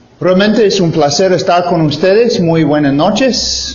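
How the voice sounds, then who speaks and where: Amid noticeable background noise and audible room echo, a man talks. His intonation is lively. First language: English (speaking Spanish). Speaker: missionary preacher. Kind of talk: sermon. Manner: halting, many fillers.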